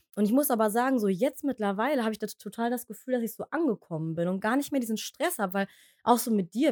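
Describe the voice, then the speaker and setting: Speaking at a very fast pace with lively intonation, a woman is heard in a dry, close sound with no echo. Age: 30s. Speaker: podcast co-host. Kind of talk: casual chat. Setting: home office in the attic, in person.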